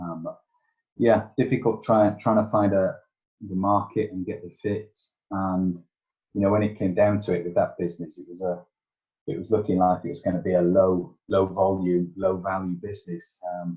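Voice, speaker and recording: A man speaks with a Yorkshire accent in a very deep, low voice. His loudness swings a lot. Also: moderate pace. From Yorkshire, northern England. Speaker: tech entrepreneur and engineer. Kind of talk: podcast interview. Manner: hesitant, many fillers.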